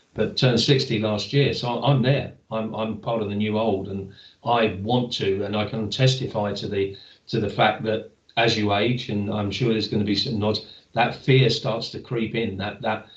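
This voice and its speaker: In a room with audible echo, a man speaks at a moderate pace in a fairly low, somewhat breathy voice with monotone, flat intonation. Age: 60s. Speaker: webinar moderator. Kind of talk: webinar panel discussion.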